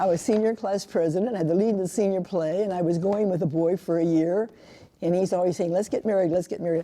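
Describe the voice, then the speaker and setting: Very fast speech from a woman at a medium pitch, her loudness very even, over noticeable background noise. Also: fairly even intonation. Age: 80s. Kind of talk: oral history interview.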